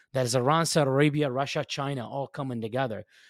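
A man with medium pitch speaks at a very fast pace, his intonation fairly even. The recording is very clean, with a silent background. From Iraq. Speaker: war veteran. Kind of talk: casual chat. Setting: studio.

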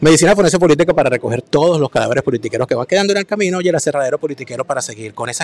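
With a Venezuelan accent, a man talks very fast at a fairly high pitch, his intonation lively and tone animated, the sound dry and close with no echo despite noticeable background noise. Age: 40s. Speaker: political commentator and author. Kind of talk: casual chat.

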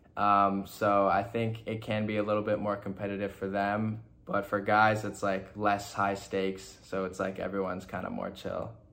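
With audible room echo, a man talks at a moderate pace in a fairly low pitch, his intonation flat and monotone and hardly any pauses between words. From Toronto, Canada, then Indiana from age 14. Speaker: fashion model. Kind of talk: casual chat.

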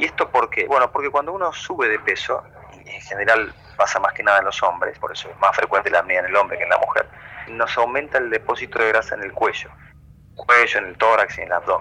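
Over noticeable background noise, a man talks at a very fast pace, his loudness swinging widely. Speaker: sleep medicine doctor. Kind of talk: radio interview.

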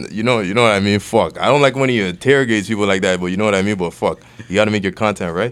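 Speaking at a very fast pace, a man has a fairly low pitch. His pitch variation is ordinary. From Toronto, Canada (Weston Road), Nigerian family. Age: 20s. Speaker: rapper. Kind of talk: interview.

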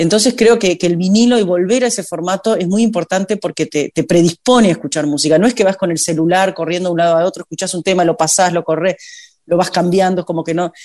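With a Uruguayan accent, a woman talks very fast with hardly any pauses, her fairly low voice dark and mellow in tone, its pitch moving in an ordinary way. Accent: Uruguayan Spanish (rioplatense). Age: 50s. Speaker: singer. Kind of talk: interview.

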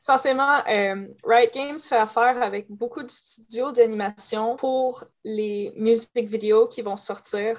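A woman at a fairly high pitch, fairly even in intonation, with big swings in loudness. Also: fairly slow pace. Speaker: cosplayer. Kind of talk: casual chat.

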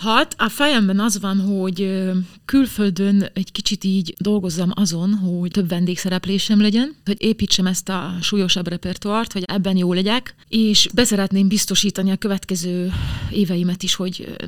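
An unremarkable speaking voice from a woman, medium-pitched, moderately paced, intonation fairly even. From southern Slovakia (Hungarian minority). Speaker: opera singer. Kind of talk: interview.

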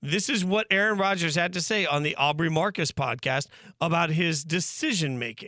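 A raspy man's voice, high in pitch, with ordinary pitch variation at a moderate pace. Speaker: sports radio host. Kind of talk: sports talk show banter. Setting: studio. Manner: high-pitched, raspy delivery he says is his everyday voice.

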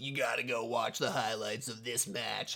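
A put-on character voice, raspy and delivered at a moderate pace. The intonation stays fairly even. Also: man, medium pitch for a man.

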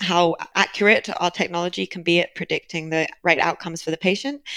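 A woman speaks at a fairly quick pace with a British accent. Her pitch varies in an ordinary way. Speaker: biotech company leader. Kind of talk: interview.

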